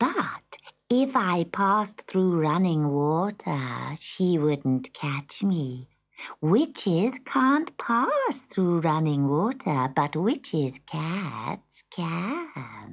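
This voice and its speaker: A put-on character voice from a woman, fairly low in pitch, at a very slow pace. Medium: read story. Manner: sly, wheedling.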